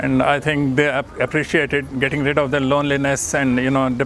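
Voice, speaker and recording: Over noticeable background noise, a man speaks at a fairly quick pace with a fairly high pitch and monotone, flat intonation. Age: old. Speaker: volunteer organizer for elderly care. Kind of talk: testimonial. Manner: halting.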